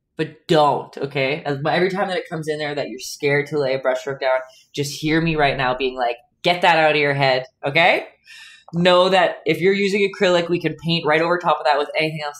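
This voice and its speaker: Very deep and low for a woman, this voice moves at a fairly quick pace. Her tone is animated, with big swings in loudness. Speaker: painting instructor and live streamer. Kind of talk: live-streamed painting tutorial with chat banter. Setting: home art studio, live stream. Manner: animated, chatty, laughs often. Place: home room.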